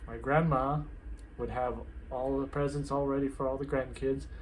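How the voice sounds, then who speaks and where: Audible room echo surrounds a man speaking at a fairly slow pace with an American accent. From USA. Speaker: vlogger. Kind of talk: casual vlog talk.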